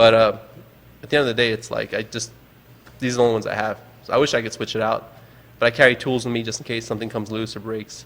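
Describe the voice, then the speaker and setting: With an American accent, a man speaks at medium pitch in a monotone, flat intonation, moving at a very fast pace between long, frequent pauses. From New York, Long Island. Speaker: adaptive sports organizer. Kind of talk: casual chat. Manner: halting.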